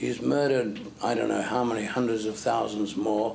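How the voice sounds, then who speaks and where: A man speaks at a moderate pace while noticeable background noise and audible room echo fill the recording. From Zimbabwe. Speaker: preacher. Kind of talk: sermon.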